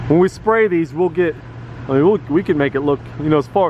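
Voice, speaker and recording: A man speaks with ordinary pitch variation, the sound dry with no echo. Noticeable background noise is present. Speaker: painting contractor. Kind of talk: casual job walkthrough commentary. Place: street. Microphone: phone near.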